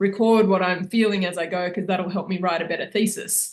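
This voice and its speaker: This voice carries an Australian accent. The words come at a fairly quick pace. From Sydney, Australia. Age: 40s. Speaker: filmmaker and photographer. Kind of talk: interview.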